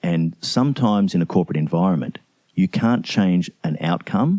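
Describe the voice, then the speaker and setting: In an Australian accent, the voice has a dark, mellow tone and ordinary pitch variation, recorded dry and close with no echo. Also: man. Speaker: CEO and leadership mentor. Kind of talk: interview answer.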